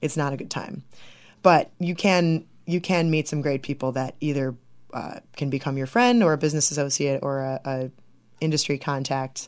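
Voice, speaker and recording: A Midwestern American accent at a moderate pace, on a very clean recording with a silent background. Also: woman, very deep, low pitch for a woman, ordinary pitch variation. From southwest Michigan. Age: 20s. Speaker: film director. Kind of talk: interview.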